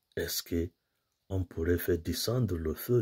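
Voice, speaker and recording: A man speaks at a very slow pace in a fairly low pitch, somewhat breathy. The background is quiet. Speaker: priest giving homily. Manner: earnest, didactic, steady pace, explains scripture readings point by point; formal, pastoral, addresses listeners directly as brothers and sisters. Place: home room. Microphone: phone near.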